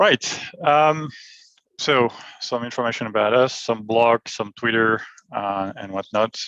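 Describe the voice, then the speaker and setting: A man with a French accent talks at a fairly slow pace, pausing long and often, his pitch medium with ordinary variation. The sound is dry and close, with no echo. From France. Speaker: IT solutions architect. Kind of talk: technical presentation. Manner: hesitant, many fillers.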